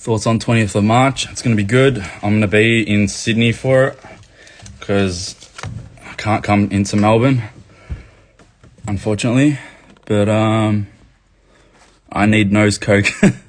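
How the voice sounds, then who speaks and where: The speaker has an Australian accent and fairly even intonation, moving at a fairly slow pace. Long, frequent pauses break up the speech over noticeable background noise. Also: man, fairly low pitch for a man. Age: 20s. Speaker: activist livestreamer. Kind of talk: live chat reading comments. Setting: livestream. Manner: casual, profane.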